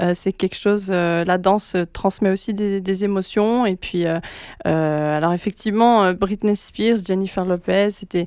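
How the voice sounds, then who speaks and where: A woman speaks fairly slowly at a medium pitch, her intonation fairly even. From French-speaking Switzerland. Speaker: pop singer. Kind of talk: radio interview. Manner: hesitant, many fillers.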